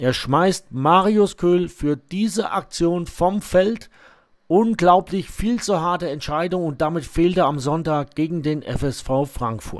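Speaking at a very slow pace, a man with a high pitch shows ordinary pitch variation on a very clean recording with a silent background. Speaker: match commentator for club video channel. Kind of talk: live-style sports commentary over match highlights, partisan toward the Barockstadt side.

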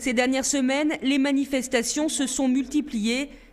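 A woman's high voice at a moderate pace, over noticeable background noise. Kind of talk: news reading. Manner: formal, measured; steady, neutral delivery.

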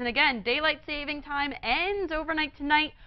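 The speaker talks at a fairly quick pace in an upbeat tone against a quiet background. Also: woman. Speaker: TV meteorologist. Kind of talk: TV weather forecast, broadcast report with a co-anchor exchange. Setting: TV studio. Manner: upbeat, clear, polished broadcast delivery; steady, brisk, explanatory pace walking through maps and temperatures. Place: studio. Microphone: lapel.

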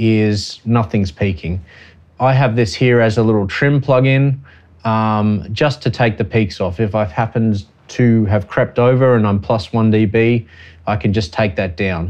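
A man's fairly low-pitched voice at a fairly slow pace, with ordinary pitch variation and a normal speaking voice. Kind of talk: tutorial. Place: studio.

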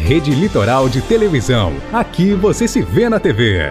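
Very wide pitch swings at a fairly slow pace, with music in the background. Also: man, medium pitch for a man, very even loudness. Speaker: voice-over announcer. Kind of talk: TV station promo read.

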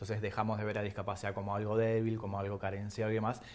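The speaker is a man with a fairly low pitch. His delivery stays flat and monotone. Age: 40s. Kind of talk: TV interview. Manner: halting, many fillers and repetitions. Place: studio. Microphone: lapel.

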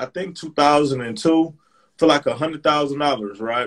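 Over a quiet background, the speaker uses an American accent at a moderate pace with ordinary pitch variation. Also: man. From Michigan, Flint; Michigan. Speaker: real estate investor; guest. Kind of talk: live stream discussion. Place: home room. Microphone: video call.

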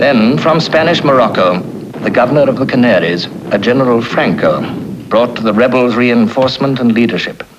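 Over noticeable background noise, a man talks with medium pitch, ordinary pitch variation and very even loudness. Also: fairly quick pace. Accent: British. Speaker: documentary narrator. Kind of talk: 1930s newsreel-style scripted narration. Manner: formal, measured, wryly archaic newsreel delivery.

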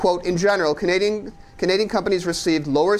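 A man is talking. His pace is very fast. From Canada. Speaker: economic commentator. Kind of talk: interview. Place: studio.

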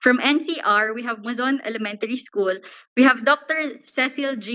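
Her voice sits high in pitch with ordinary pitch variation. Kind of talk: formal reading of attendee list. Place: hall. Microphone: podium.

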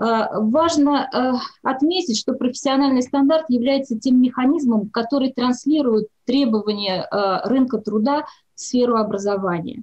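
A woman's high-pitched voice with very even loudness, over a quiet background. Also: ordinary pitch variation, fairly slow pace. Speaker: labour ministry research director. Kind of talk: presentation. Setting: video call. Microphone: video call.

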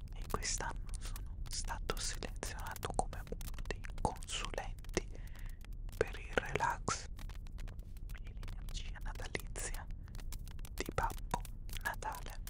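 A man whispers at a very slow pace. Long, frequent pauses break up his words. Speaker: ASMR creator. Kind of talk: soft ASMR role-play talk. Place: home room. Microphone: studio mic.

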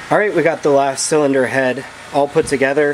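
A man at a moderate pace with fairly even intonation, over noticeable background noise. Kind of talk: tutorial. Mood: relaxed, explanatory. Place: garage. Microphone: phone near.

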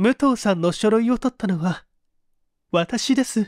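A shaky, put-on character voice at a fairly high pitch and moderate pace, in a very clean recording with a silent background. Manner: trembling, fearful.

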